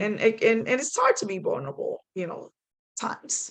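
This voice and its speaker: A woman speaks with a Spanish accent. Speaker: kayak angler and paddling panelist. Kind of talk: panel discussion.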